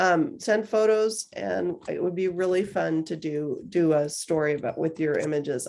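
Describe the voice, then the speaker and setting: At a fairly slow pace, a woman with a fairly low pitch speaks in an unremarkable speaking voice. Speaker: magazine publisher hosting a craft workshop. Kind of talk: casual online workshop chat.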